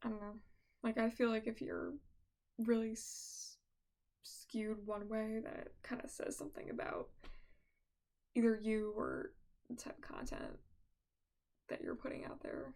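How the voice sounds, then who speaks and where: A soft-spoken woman talks at a fairly slow pace in a relaxed tone, leaving long, frequent pauses. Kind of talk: casual soft-spoken ramble to camera. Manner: soft-spoken, relaxed.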